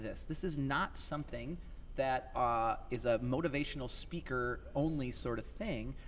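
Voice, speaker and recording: A man speaks with vocal fry and lively intonation. Audible room echo surrounds his voice. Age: 30s. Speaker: youth motivational speaker. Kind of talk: casual interview. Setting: live at a conference venue.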